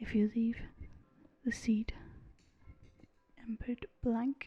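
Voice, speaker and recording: With music in the background, a soft-spoken voice talks at a very slow pace in a relaxed tone. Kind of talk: soft-spoken gaming commentary for relaxation. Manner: soft-spoken, relaxed.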